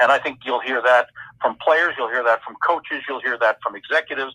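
A man with a Canadian accent is heard in a dry, close sound with no echo. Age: 60s. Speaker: hockey play-by-play broadcaster. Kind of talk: interview. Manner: halting, many fillers.

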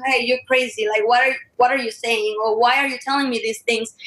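This is a woman's voice. The rise and fall of her pitch is ordinary. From Ecuador. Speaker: ministry member, guest panelist. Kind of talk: religious discussion, bilingual.

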